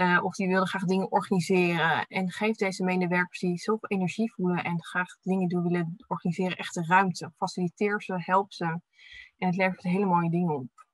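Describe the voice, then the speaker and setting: Against a quiet background, a woman with a medium-pitched, somewhat breathy voice speaks at a fairly quick pace in a monotone, flat intonation, the sound dry with no echo. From Netherlands, Delft; Netherlands. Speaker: physiotherapist and researcher. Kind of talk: webinar presentation. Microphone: webcam.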